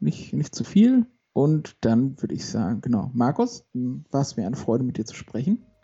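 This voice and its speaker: Somewhat breathy, a man speaks at medium pitch and a moderate pace. His intonation is lively. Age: 30s. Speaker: podcast co-host, accountant. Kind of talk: casual chat.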